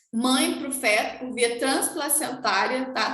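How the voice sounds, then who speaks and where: A woman's high voice at a very slow pace, with ordinary pitch variation and audible room echo. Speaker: nursing teacher. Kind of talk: lecture.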